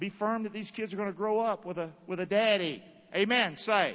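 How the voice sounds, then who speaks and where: With a Southern US accent, a man speaks at a high pitch and a moderate pace. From US South, North Carolina (Rockingham). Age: 50s. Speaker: pastor. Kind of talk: sermon. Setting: church. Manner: animated.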